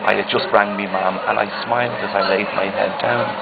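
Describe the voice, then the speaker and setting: Over noticeable background noise, a man talks at a moderate pace in a fairly low pitch. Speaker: poet. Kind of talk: poetry reading.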